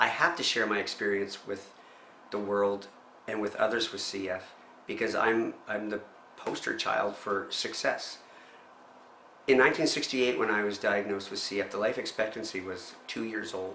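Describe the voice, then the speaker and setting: A man with a Maritime Canadian accent, fairly low in pitch, with fairly even intonation at a moderate pace, amid noticeable background noise. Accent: Canadian (Maritimes). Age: 50s. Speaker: person living with cystic fibrosis. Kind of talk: personal testimony interview. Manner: halting, repeats words.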